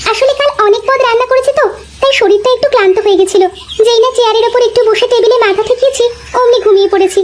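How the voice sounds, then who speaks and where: A cartoonish character voice moves at a fairly quick pace. Background noise is clearly audible. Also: woman, extremely high pitch for a woman. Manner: soft, polite.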